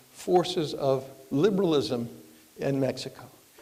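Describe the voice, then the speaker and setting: A man talks at a very slow pace in a fairly high pitch. The recording carries audible room echo and noticeable background noise. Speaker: professor. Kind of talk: lecture. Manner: halting, many fillers.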